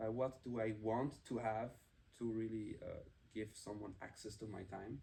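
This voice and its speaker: Here a man speaks at a medium pitch with a dark, mellow tone. His delivery is somewhat breathy, moderately paced and fairly even in intonation. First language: German. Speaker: podcast co-host. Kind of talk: casual chat.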